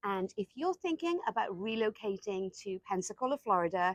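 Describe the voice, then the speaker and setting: A woman with a Welsh accent, medium in pitch, with lively intonation at a moderate pace, dry and close with no echo, over a quiet background. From Wales. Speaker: real estate agent. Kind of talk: casual talk to camera.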